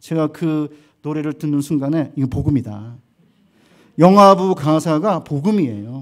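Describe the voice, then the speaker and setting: A man with a plain, everyday voice, fairly high in pitch with ordinary pitch variation, at a fairly slow pace on a very clean recording with a silent background. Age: 60s. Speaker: seminary professor, guest preacher. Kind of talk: sermon.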